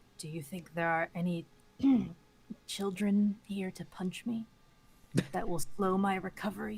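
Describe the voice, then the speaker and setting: Putting on a raspy character voice at a medium pitch, a woman speaks at a moderate pace with long, frequent pauses. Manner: dry, deadpan.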